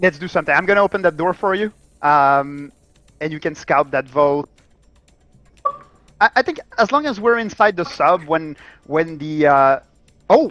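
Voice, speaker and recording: Speaking in a French Canadian accent, the voice moves at a moderate pace with long, frequent pauses. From Quebec. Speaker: game developer. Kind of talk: casual chat while gaming. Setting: live stream. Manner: halting, repeats words.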